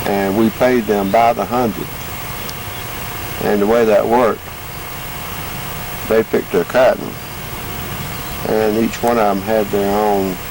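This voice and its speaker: With a Georgia accent, a man speaks at a fairly low pitch and fairly slow pace in a monotone, flat intonation with very even loudness, long, frequent pauses and noticeable background noise. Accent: Southern US, Georgia. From US South, Georgia. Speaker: interviewee recalling farm childhood. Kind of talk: oral history interview. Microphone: home video recording, poor quality.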